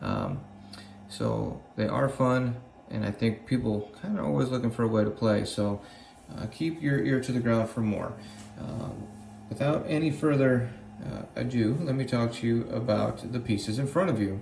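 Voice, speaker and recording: With noticeable background noise and audible room echo, a man speaks at a moderate pace and medium pitch with ordinary pitch variation. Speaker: gaming channel team member. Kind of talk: promotional video message.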